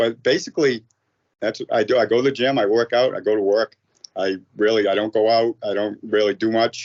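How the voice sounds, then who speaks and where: A man with an American accent speaks at a fairly quick pace. His medium-pitched voice keeps a fairly even intonation. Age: 50s. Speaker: firefighter and amateur MMA fighter. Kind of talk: casual interview. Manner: halting, many false starts.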